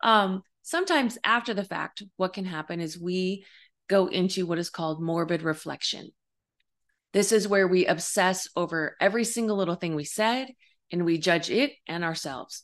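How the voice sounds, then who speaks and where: A woman's unremarkable speaking voice, medium in pitch, with ordinary pitch variation and a moderate pace. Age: 50s. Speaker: life coach and psychic medium podcast host. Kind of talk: solo podcast monologue. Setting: home video recording. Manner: warm, conversational with fillers.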